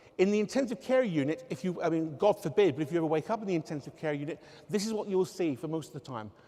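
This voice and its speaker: A man with a southwest English accent speaks at a very fast pace and high pitch, his intonation lively. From southwest England, Devon area. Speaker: researcher and engineering academic. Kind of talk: public talk. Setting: stage with audience.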